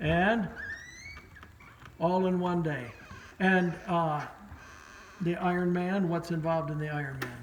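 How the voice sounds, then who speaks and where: A high-pitched man at a fairly slow pace, with fairly even intonation and long, frequent pauses, amid noticeable background noise and audible room echo. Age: 70s. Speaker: channel owner, father. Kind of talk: casual interview; personal monologue.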